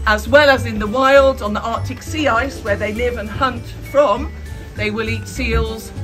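A woman speaking at a moderate pace over clear music in the background. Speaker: zoo keeper guide. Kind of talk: public talk to visitors. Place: open country. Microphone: camera far.

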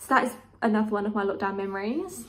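A woman with a southern English accent, fairly quick pace and fairly even intonation. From southern England, Kent; southern England. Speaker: YouTuber; vlogger. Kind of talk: casual vlog monologue. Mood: warm, cheerful. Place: home room. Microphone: phone near.

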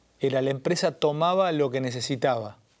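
A man's voice with ordinary pitch variation. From Argentina. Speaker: interview show host; interview host. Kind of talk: interview conversation. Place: studio. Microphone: lapel.

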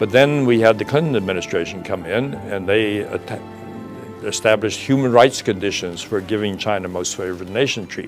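Clear music plays in the background as the speech moves at a moderate pace with ordinary pitch variation. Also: man. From China (Sichuan). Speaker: retired ambassador, diplomat. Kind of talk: interview answer. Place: studio.

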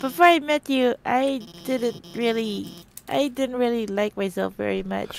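A female-sounding voice is doing a put-on character, pitched fairly high for a woman. The delivery moves at a fairly slow pace. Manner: nervous, earnest, stammering.

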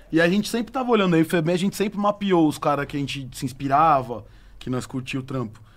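A man talks at a very fast pace. His voice sits fairly high with lively intonation. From Brazil. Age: 30s. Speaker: DJ and beatmaker. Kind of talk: casual chat. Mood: relaxed, casual. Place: studio. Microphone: studio mic.

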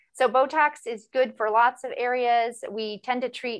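The background is quiet. A woman speaks at a high pitch. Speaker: cosmetic injector. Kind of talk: live demonstration.

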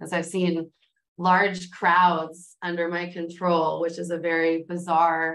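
A woman speaks at a fairly slow pace in a fairly low pitch, her intonation monotone and flat, against a quiet background. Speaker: engineer; panelist. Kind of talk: panel discussion. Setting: video call. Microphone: video call.

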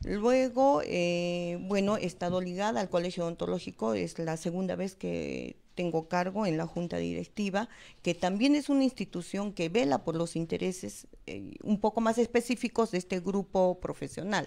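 A woman's dark, mellow tone with lively intonation at a moderate pace. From Peru. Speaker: political candidate, dentist; candidate. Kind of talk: election debate. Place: studio. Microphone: handheld.

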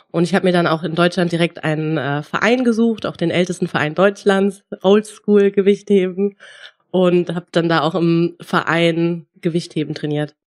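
An unremarkable speaking voice proceeds at a moderate pace. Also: woman, fairly low pitch for a woman. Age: 20s. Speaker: powerlifter and sports student. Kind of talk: casual interview.

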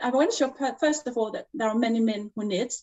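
A woman speaks with a Danish accent. The background is quiet. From Denmark, Jutland; Denmark. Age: 40s. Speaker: knitwear designer; guest. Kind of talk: interview. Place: home room. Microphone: video call.

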